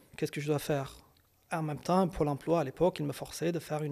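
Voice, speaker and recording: A man's fairly high-pitched, fairly quick voice with vocal fry and fairly even intonation, on a very clean recording with a silent background. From Kurdistan. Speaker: psychologist and psychoanalyst. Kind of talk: interview. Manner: hesitant, with fillers and repetitions.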